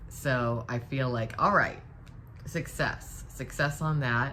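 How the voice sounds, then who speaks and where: A woman's voice with audible room echo. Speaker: live streamer. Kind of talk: casual chat. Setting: live stream.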